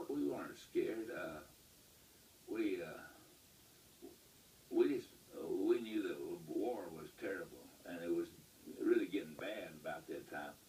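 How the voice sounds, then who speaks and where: A man with a West Texas accent, a fairly slow pace, long and frequent pauses, and big swings in loudness. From Lubbock, Texas. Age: 80s+. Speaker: World War II Navy Seabees veteran. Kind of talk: interview answer.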